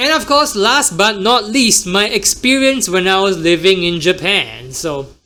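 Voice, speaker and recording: Over noticeable background noise, a man with an American accent uses a raised, projected voice at a high pitch, speaking at a fairly slow pace with lively intonation and hardly any pauses. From Singapore. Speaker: podcast host and emcee. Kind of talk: casual solo podcast talk.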